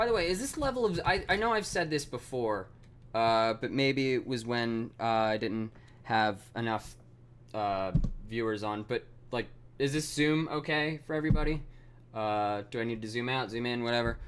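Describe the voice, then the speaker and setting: A man with a slight Mid-Atlantic accent talks at a moderate pace, his medium pitch showing ordinary variation. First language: not English. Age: 20s. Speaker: programming streamer. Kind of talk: live coding stream. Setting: live stream. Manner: halting, many fillers.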